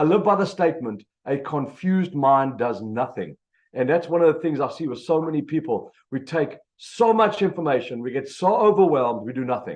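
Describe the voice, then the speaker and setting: A man with a South African accent talks at a fairly quick pace. His pitch is fairly high. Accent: South African, noticeable. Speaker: business coach, motivational speaker. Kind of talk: motivational presentation. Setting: video call. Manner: energetic.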